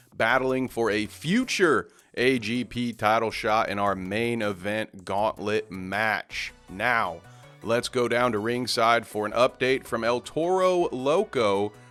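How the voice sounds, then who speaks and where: Over music in the background, a man speaks at a fairly slow pace with a medium pitch. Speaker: wrestling commentator. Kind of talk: pro wrestling commentary.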